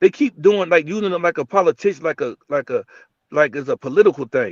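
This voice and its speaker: Loud, very fast speech with lively intonation comes in an American accent. The sound is dry and close, with no echo. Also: man, high pitch for a man. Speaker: sports podcast host. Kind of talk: heated debate. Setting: live stream. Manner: loud, animated.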